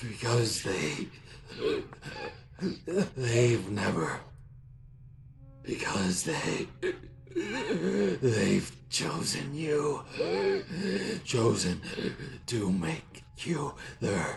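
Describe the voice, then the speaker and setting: A man at medium pitch does a put-on character voice, speaking very slowly. Long, frequent pauses break up his speech over clear background noise. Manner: pleading, creepy.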